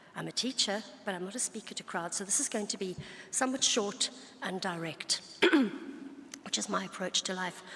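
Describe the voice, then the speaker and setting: A woman puts on a hoarse, gruff character voice at a medium pitch, talking at a fairly quick pace. She leaves long, frequent pauses, and light background noise is present. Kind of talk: plain, direct.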